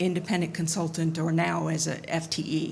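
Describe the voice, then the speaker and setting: A woman talks at a moderate pace with audible room echo around her. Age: 60s. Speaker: audience member, hospital information security worker. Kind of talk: audience comment at panel Q&A.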